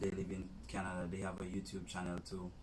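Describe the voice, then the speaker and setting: A man talks at a fairly quick pace with vocal fry, and audible room echo follows his voice. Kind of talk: casual chat.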